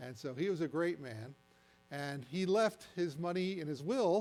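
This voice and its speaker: With an American accent, a man speaks in a dark, mellow tone with lively intonation. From New Jersey. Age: 70s. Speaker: retired science teacher, science presenter. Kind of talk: science presentation to audience. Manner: conversational, interactive.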